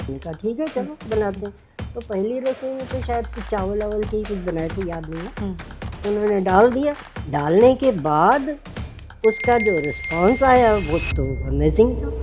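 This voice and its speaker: A woman speaks at a medium pitch with lively intonation and big swings in loudness. Music plays in the background. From India. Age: 80s+. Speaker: cooking channel personality, retired teacher. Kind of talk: interview answer.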